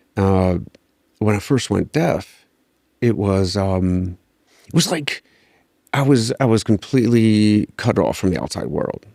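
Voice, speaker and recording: With a Midwestern American accent, a man speaks fairly slowly in a fairly low pitch and dark, mellow tone, with ordinary pitch variation and a dry, close sound with no echo. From rural Ohio. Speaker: army veteran. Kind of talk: interview.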